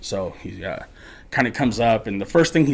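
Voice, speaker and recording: This man has an unremarkable speaking voice at medium pitch, with lively intonation. He talks at a fairly quick pace in a very clean recording with a silent background. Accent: American. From Colorado (Morgan area). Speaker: podcast guest storyteller. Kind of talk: casual storytelling.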